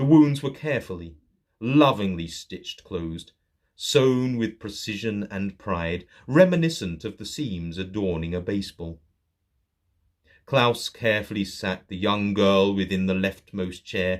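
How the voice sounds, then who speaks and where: A man with an American accent has a normal speaking voice, fairly low pitch and lively intonation, talking at a fairly slow pace with big swings in loudness. The recording is very clean, with a silent background. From Saint Louis, Missouri. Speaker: horror author and narrator. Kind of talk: horror story reading.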